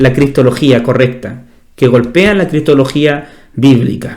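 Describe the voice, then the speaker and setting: A fairly high-pitched male voice with audible room echo. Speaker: pastor. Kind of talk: bible study teaching. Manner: fast.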